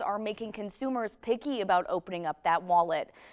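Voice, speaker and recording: A woman's lively, expressive intonation at a moderate pace, amid noticeable background noise. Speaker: TV news reporter and anchor. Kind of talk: TV news stand-up and anchor read.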